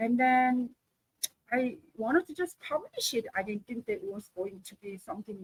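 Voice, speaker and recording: In a Korean accent, a woman speaks at a moderate pace with a high pitch and lively intonation. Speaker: author and coach. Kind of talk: interview. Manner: halting.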